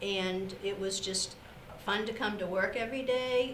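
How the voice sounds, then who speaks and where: Amid light background noise and audible room echo, a woman speaks at a fairly slow pace with fairly even intonation. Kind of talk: interview answer. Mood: warm, fond. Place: studio.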